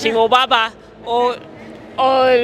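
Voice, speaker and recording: A woman with a British accent speaks in a raised, projected voice at a high pitch, with noticeable background noise. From UK. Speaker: drinks entrepreneur. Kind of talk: sales pitch. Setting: community event.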